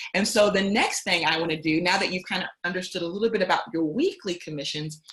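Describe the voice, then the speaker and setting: Noticeable background noise sits behind a woman's medium-pitched voice. She talks at a fairly quick pace with ordinary pitch variation. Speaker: company executive giving training. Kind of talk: training webinar tutorial. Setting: conference call. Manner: fast.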